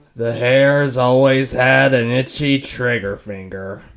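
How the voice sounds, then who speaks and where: A man's put-on character voice at a medium pitch and fairly slow pace. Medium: audio drama. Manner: calm.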